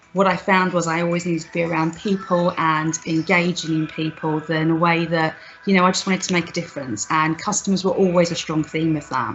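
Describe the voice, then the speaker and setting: Over noticeable background noise, a woman with a fairly low pitch speaks at a fairly quick pace with fairly even intonation. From Scotland, Glasgow. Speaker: business leader. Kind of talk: personal talk.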